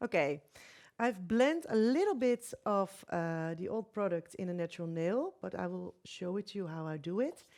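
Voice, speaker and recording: A woman with a non-native accent, medium pitch and lively intonation at a moderate pace, in a very clean recording with a silent background. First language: not English. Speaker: nail technician. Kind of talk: live demonstration. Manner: halting, hesitant.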